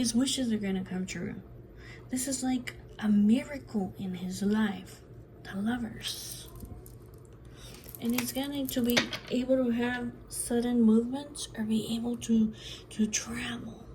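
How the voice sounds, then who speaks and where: Amid noticeable background noise and audible room echo, a woman speaks at a fairly slow pace with long, frequent pauses. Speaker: tarot reader. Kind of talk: tarot reading monologue. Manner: repetitive, chatty.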